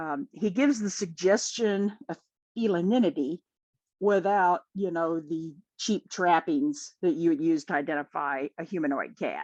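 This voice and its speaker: A woman with a Midwestern accent, fairly low-pitched, lively in intonation, at a moderate pace, dry and close with no echo, against a quiet background. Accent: Midwest. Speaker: podcast guest, fan. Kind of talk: casual chat.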